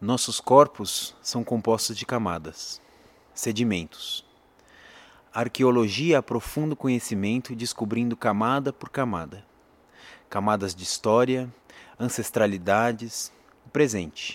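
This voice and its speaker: In a Brazilian accent, a man with a medium pitch speaks at a fairly slow pace in a solemn, dramatic tone, using ordinary pitch variation and long, frequent pauses, on a very clean recording with a silent background. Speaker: educator and musician. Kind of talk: poetry reading aloud, solemn spoken-word delivery; introduction then reading a written poem. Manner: slow, measured, solemn, with dramatic pauses.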